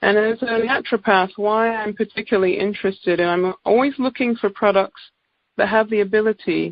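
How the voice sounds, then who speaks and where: A woman with an English accent, ordinary pitch variation and a moderate pace. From England. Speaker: naturopathic doctor. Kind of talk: product presentation. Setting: conference call.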